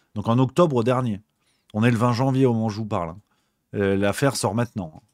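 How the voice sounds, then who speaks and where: A man talks at a very fast pace. His voice sits at medium pitch with ordinary pitch variation. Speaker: livestream political commentator. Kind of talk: live stream commentary reading chat. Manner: hesitant, many repetitions; casual.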